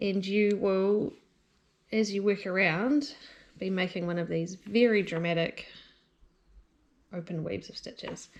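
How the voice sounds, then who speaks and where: In a New Zealand accent, a woman speaks at medium pitch and a fairly slow pace, her tone relaxed and her pitch variation ordinary. Her loudness swings widely, and she takes long, frequent pauses. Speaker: knitting instructor. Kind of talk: tutorial talk to camera. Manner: casual, relaxed.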